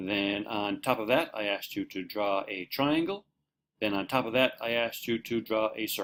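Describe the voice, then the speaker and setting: Moderately paced male speech at medium pitch, with ordinary rise and fall. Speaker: marine safety trainer. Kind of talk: online course lecture. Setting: home shed.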